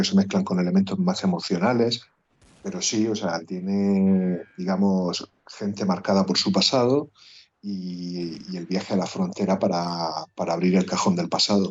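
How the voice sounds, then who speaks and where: Delivered at a fairly slow pace, the speech has monotone, flat intonation. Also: man. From Murcia, Spain. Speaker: podcast co-host, film critic. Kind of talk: casual podcast chat about films.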